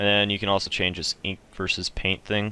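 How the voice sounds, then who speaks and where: A man's voice with a bright, sharp tone. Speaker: video game tutorial maker. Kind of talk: tutorial. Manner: fast; casual with many fillers.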